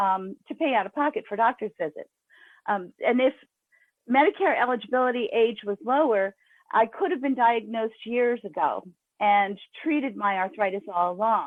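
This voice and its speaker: A woman uses a normal speaking voice, fairly high in pitch, at a moderate pace. Her intonation is lively. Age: 60s. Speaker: urban farmer and grassroots activist. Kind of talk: testimony.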